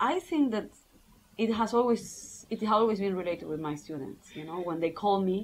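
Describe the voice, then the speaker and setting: Talking at a fairly quick pace, a woman with a Spanish accent shows ordinary pitch variation. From Argentina. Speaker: English teacher and PhD student. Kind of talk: casual interview. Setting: filmed interview. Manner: halting, many repetitions.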